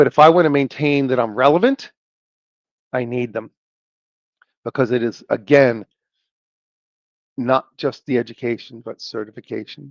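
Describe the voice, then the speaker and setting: Pausing long and often, a man talks at a moderate pace and medium pitch with ordinary pitch variation, in a dry, close sound with no echo. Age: 60s. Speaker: tech podcast host. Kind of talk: podcast monologue. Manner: emphatic, repetitive.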